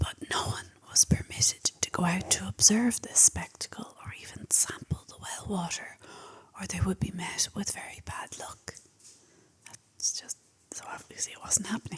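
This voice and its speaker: A whisper in an Irish accent. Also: moderate pace. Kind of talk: ASMR fact talk. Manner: whispered.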